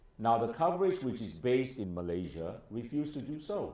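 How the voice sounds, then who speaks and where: Speaking at a moderate pace with a medium pitch, a man with a dark, mellow tone makes very wide pitch swings amid audible room echo. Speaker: lawyer and politician. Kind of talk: interview discussion.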